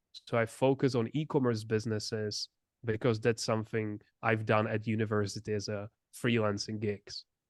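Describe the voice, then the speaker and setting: At a moderate pace, a man talks in a fairly low pitch with monotone, flat intonation. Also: dry, close sound with no echo. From Czech Republic. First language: Czech. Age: 20s. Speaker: entrepreneur. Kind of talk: interview.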